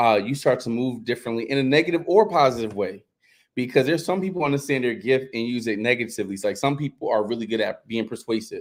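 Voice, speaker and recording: Speaking at a very fast pace, a man uses a medium-pitched voice. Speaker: life coach and podcast co-host. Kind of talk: casual chat. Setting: live stream.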